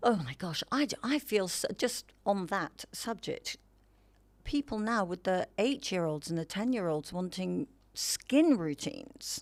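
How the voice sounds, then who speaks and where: A woman at medium pitch speaks with very wide pitch swings on a very clean recording with a silent background. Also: fairly slow pace. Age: 60s. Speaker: mature model and wellness advocate. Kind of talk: casual interview chat. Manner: animated.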